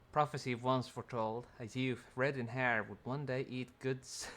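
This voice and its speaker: Delivery here is fairly slow. The speaker is soft-spoken. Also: man. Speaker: game streamer. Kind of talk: gameplay commentary. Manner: halting.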